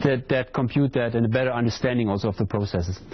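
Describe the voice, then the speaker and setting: A man talks over noticeable background noise. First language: not English. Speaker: hydrology lecturer. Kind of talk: lecture Q&A. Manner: hesitant, repeats words.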